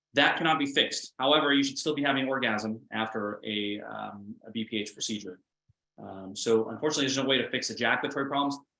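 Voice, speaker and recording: With an American accent, this man talks at a very fast pace in a bright, sharp tone, his fairly high pitch moving with lively intonation. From Alabama, US South. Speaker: urologist. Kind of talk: webinar Q&A answers. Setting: online webinar.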